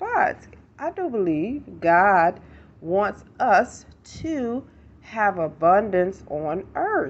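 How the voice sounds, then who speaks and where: Pitch swings very widely in this woman's voice. Her delivery is very slow. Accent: American. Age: 50s. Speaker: life coach and motivational speaker. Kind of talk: motivational talk to camera. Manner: casual, rambling and conversational.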